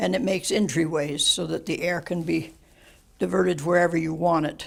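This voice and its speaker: A woman with an American accent talks at a fairly low pitch with vocal fry. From Western United States. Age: 80s+. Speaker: retired coal miner. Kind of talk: interview answer.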